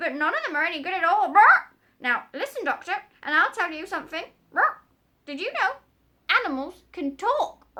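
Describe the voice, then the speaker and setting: A woman's put-on character voice at an extremely high pitch, broken by long, frequent pauses. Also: moderate pace. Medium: read story. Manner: squawks "brat" between words.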